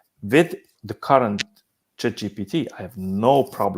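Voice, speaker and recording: With a strong Hungarian accent, a man speaks at a fairly low pitch with ordinary pitch variation. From Hungary. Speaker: business simulation company CEO. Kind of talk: panel discussion. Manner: halting.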